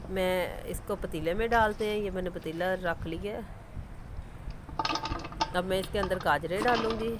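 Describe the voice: A woman's medium-pitched voice at a moderate pace, ordinary pitch variation, long, frequent pauses, and clear background noise.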